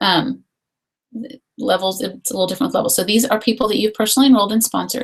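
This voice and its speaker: A woman's fairly high, somewhat breathy voice at a very fast pace, with ordinary pitch variation and long, frequent pauses. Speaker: essential oils distributor. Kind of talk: online webinar presentation.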